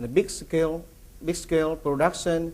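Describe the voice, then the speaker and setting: Fairly slow delivery from a man, audible room echo around his voice. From Vietnam. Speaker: feed company executive. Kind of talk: conference presentation. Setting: conference with audience. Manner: halting, many fillers and repetitions.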